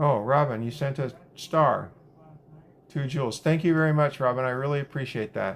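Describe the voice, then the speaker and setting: With an American accent, a man talks in a normal speaking voice at a fairly high pitch, with ordinary pitch variation and a moderate pace. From US Pacific Northwest. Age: 60s. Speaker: livestreamer. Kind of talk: casual chat. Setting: live stream. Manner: chatty.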